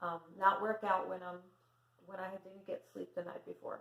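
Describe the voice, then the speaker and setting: At a moderate pace, a woman speaks in a soft-spoken way. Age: 50s. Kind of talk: casual talk to camera.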